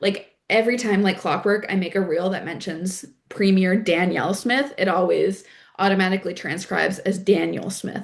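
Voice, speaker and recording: Speaking at a fairly quick pace, a woman with a slight East Coast Canadian accent uses a medium pitch and fairly even intonation. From Prince Edward Island, Canada. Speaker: climate organizer and content creator. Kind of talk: workshop tutorial. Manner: casual, many filler words.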